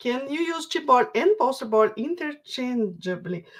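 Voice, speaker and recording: A woman with a Brazilian Portuguese accent, high in pitch, with very wide pitch swings and a very slow pace. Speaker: craft workshop instructor. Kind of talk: live stream Q&A. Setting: online livestream. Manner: halting, repeats words.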